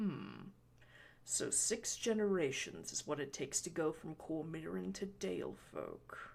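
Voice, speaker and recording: Someone puts on a booming character voice at a middle pitch, speaking at a fairly slow pace. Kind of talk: aristocrat addressing the masses. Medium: read story. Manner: theatrical, smug.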